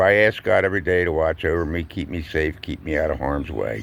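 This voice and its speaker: A man talks at a moderate pace with an American accent. His very deep, low pitch carries vocal fry. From US Northeast, Collingswood, New Jersey. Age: 70s. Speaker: vlogger, retired truck driver and veteran. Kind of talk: casual monologue vlog. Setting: outdoors. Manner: conversational with filler pauses.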